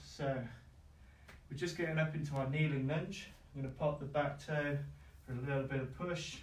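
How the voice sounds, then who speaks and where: In a room with audible echo, a man speaks at a moderate pace. His voice is somewhat breathy, and his intonation is monotone and flat. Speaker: fitness instructor. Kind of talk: workout class instruction. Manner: calm, relaxed.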